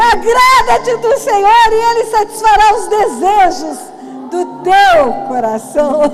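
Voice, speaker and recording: With music in the background and audible room echo, a woman talks at an extremely high pitch. Her intonation is lively and her pace very slow. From Brazil, Mato Grosso do Sul. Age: 60s. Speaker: pastor. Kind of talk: testimony and preaching.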